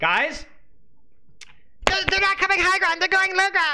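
A squeaky, put-on character voice at an extremely high pitch, delivered at a fairly slow pace. Light background noise sits underneath.

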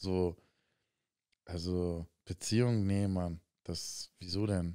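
Against a quiet background, a man speaks in a very deep, low voice with a dark, mellow tone and fairly even intonation. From Hamburg, Germany. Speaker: professional basketball player, podcast co-host; podcast co-host. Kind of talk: casual chat. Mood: relaxed, candid. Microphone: studio mic.

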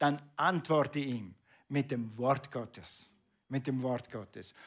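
A man's very slow speech against a quiet background. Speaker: preacher. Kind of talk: sermon. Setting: church. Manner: animated; conversational, asking the congregation questions. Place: church.

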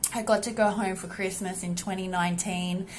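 Over light background noise, a woman with an Australian accent speaks in a somewhat breathy voice with monotone, flat intonation. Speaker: women's health entrepreneur. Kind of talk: personal vlog monologue. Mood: reflective, grateful. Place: home room. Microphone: phone near.

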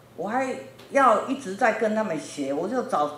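A woman talks at a moderate pace with very wide pitch swings, with light background noise and audible room echo. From Taiwan, New Taipei; Taiwan. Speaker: factory owner in Africa. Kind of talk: lecture. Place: classroom. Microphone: handheld.

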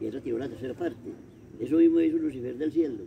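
With light background noise, a man with a fairly high pitch talks at a very fast pace. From rural Caldas, Colombia. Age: 80s. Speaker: elderly local storyteller. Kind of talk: oral storytelling of local legends. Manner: halting, with many repetitions. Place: garden. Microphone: camera far.

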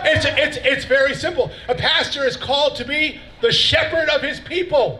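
With a raised, projected voice at an extremely high pitch, a man speaks fairly slowly with lively intonation over light background noise. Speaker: pastor. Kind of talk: sermon-style rally speech; rally speech. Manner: animated. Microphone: podium.

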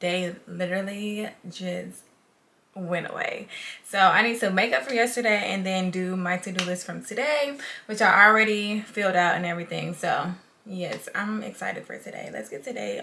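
Moderately paced, a woman's voice shows big swings in loudness. Her pitch varies in an ordinary way. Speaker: makeup artist vlogger. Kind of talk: casual vlog chat. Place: home room. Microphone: camera far.

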